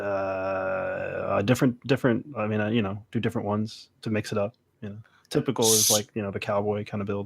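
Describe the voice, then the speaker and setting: The delivery is fairly quick, with monotone, flat intonation. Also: man, fairly low pitch for a man. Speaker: podcast guest. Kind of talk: casual podcast discussion.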